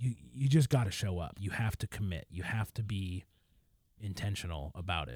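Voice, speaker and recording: The recording of this somewhat breathy man has a dry, close sound with no echo. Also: fairly low pitch for a man, lively intonation, moderate pace. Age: 30s. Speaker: podcast co-host. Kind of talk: casual chat about faith and a book. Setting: remote recording over the internet.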